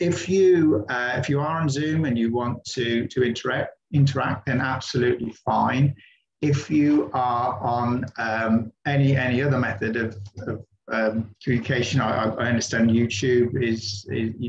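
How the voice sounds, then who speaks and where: A somewhat breathy male voice at a moderate pace, ordinary pitch variation and noticeable background noise. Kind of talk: online presentation talk. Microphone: video call.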